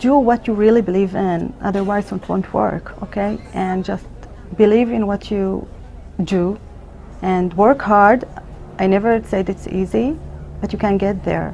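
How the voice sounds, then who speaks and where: A woman with an Arabic accent at a fairly slow pace, fairly even intonation and long, frequent pauses, over noticeable background noise. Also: medium pitch for a woman. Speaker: emergency physician. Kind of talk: interview. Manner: halting.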